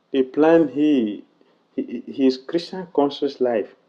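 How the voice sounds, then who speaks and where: A man speaks quietly with a non-native accent. His tone is dark and mellow. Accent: heavy non-native. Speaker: monk, religious teacher. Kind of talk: religious lecture. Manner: volume swings between quiet and loud.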